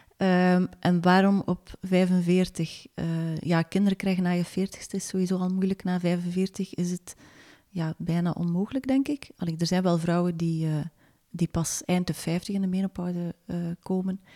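In a dry, close sound with no echo, a woman with a dark, mellow tone speaks at a fairly slow pace with fairly even intonation. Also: medium pitch for a woman. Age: 40s. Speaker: magazine editor and author. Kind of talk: interview. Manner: hesitant, many filler sounds.

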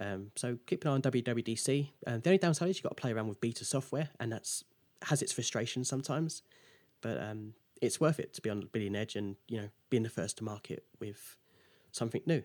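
A man with an English accent at a very fast pace and lively intonation, dry and close with no echo, on a very clean recording with a silent background. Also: medium pitch for a man. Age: 20s. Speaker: app developer. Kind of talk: interview.

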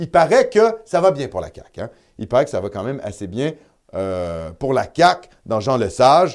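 A man's fairly high voice with vocal fry at a fairly slow pace, with very wide pitch swings and big swings in loudness, on a very clean recording with a silent background. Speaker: web TV host. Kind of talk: live election-night commentary.

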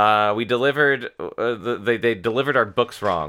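A man speaks at a medium pitch in an ordinary speaking voice. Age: 30s. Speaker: cartoonist. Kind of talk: casual chat, storytelling.

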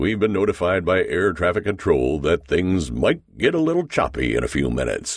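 This man's voice has vocal fry. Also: very clean recording, silent background. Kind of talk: audiobook narration; dramatic narration. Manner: tense, dramatic, building suspense; formal, measured.

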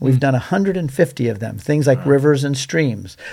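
The voice is a plain, everyday voice, moving at a moderate pace. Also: man. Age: 60s. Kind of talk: casual interview chat. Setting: studio.

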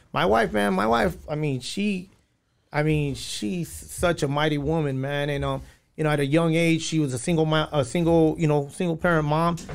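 A man uses a normal speaking voice, fairly high in pitch, with ordinary pitch variation at a moderate pace. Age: 30s. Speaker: former prisoner turned drug counselor. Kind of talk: testimony.

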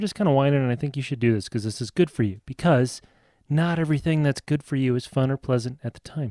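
A man speaks very fast with a Midwestern American accent in a dark, mellow tone. The recording is very clean with a silent background, and the sound is dry and close with no echo. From US Midwest (Nebraska). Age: middle-aged. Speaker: podcast co-host, father. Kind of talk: casual chat.

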